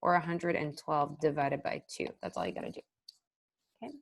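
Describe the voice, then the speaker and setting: A woman speaks with a very deep, low pitch. Her voice carries vocal fry. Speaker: math teacher. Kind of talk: tutorial.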